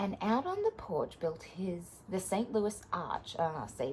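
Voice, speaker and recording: A woman talks at a fairly slow pace. She has an Australian accent. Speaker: teacher reading stories to pupils. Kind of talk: reading aloud.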